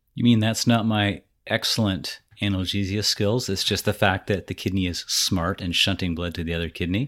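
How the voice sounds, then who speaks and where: In a very clean recording with a silent background, a man with a fairly low pitch and an unremarkable speaking voice talks at a moderate pace with fairly even intonation. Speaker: podcast host; emergency physician. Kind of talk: casual, joking clinical talk.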